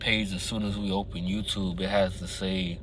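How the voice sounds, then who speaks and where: With audible room echo, a man speaks at a moderate pace in a monotone with flat intonation. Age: young. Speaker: vlogger. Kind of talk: casual monologue vlog. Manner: hesitant, filler words.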